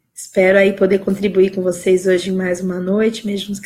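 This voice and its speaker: The voice is somewhat breathy, with flat, monotone intonation. It moves at a moderate pace. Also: woman. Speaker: life coach. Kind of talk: live stream talk. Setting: live video stream.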